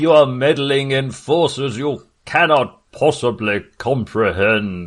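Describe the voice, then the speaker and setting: A man speaks fairly slowly in a put-on character voice, his pitch medium. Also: lively intonation. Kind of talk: villain monologue, arch overacting. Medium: actual play. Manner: smug, menacing, grandly commanding.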